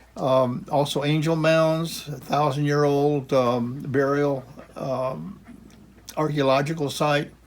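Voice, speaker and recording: Speaking very slowly with an American accent, a man's fairly high voice keeps fairly even intonation amid audible room echo. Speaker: retired geography professor. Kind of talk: casual lecture. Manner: halting, many fillers and restarts.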